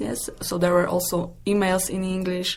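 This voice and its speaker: Somewhat breathy and medium in pitch, a woman with a Polish accent talks at a fairly quick pace. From Poland. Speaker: English teacher. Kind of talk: interview.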